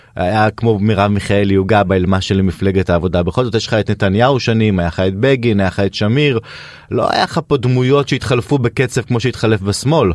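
Talking at a fairly quick pace with ordinary pitch variation, a man uses an unremarkable speaking voice at a fairly low pitch on a very clean recording with a silent background. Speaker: radio host. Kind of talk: casual chat. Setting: studio.

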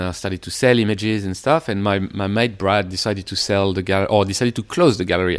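A man's fairly low voice with a French accent, very fast pace and fairly even intonation. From Paris suburbs, France. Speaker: underwater photographer. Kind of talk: interview conversation. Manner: halting, hesitant.

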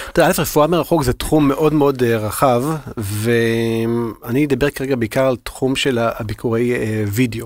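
Over noticeable background noise, a man talks at a moderate pace and a medium pitch, with ordinary pitch variation and very even loudness. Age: 40s. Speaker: health-tech innovation manager. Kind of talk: interview.

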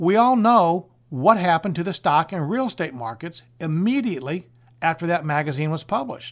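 A man's high-pitched voice with lively intonation. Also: fairly quick pace. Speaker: radio host and retirement planner. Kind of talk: infomercial sales pitch. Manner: urgent, pushy call-to-action delivery; rehearsed, salesy, emphatic.

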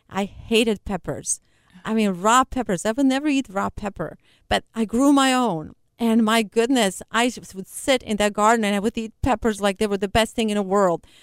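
A woman with a fairly high pitch and ordinary pitch variation, in a non-native accent, with a dry, close sound and no echo. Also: moderate pace. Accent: foreign-accented English. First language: not English. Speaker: nonprofit founder. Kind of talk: interview. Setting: studio.

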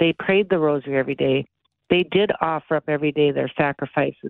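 Ordinary pitch variation, an unremarkable speaking voice and a moderate pace. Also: woman. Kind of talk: radio interview. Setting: phone call.

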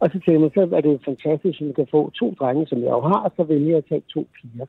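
This is a normal speaking voice from a man. He talks at a fairly quick pace with a fairly high pitch. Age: 50s. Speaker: caller, father. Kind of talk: phone-in interview. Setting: phone call. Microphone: faint, poor phone line.

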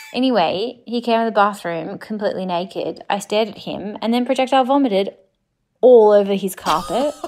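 Music plays behind a woman speaking at a fairly high pitch with ordinary pitch variation. She talks at a fairly quick pace, and her loudness swings widely. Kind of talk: voice note story.

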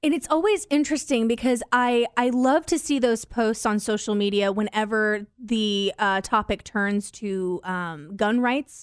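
A woman with an unremarkable speaking voice, fairly high pitch and ordinary pitch variation, at a fairly slow pace with hardly any pauses. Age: 20s. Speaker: podcast co-host. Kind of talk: casual chat.

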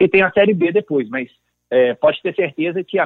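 A man talks at a fairly quick pace. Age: 30s. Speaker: lawyer and football club presidential candidate. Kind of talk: interview.

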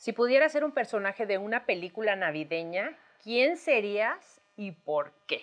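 Her voice sits at a medium pitch. This woman's pitch swings very widely. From Mexico, Tamaulipas. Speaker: podcast co-host. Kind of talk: casual chat.

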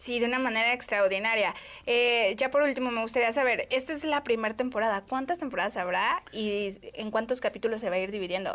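A woman in an ordinary speaking voice talks at a fairly quick pace and fairly high pitch, with ordinary pitch variation and hardly any pauses. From Mexico, Guadalajara. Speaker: podcast host. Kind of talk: casual interview.

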